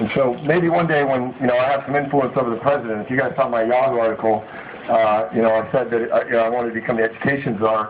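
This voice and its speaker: Over noticeable background noise and audible room echo, a man with an American accent talks at a very fast pace in a medium pitch. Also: fairly even intonation. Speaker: company CEO and author. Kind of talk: motivational speech at book signing. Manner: halting, many fillers.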